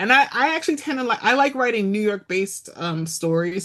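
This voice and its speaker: Talking very fast with lively intonation, a woman is heard through noticeable background noise. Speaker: romance author. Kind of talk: casual chat. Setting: podcast interview.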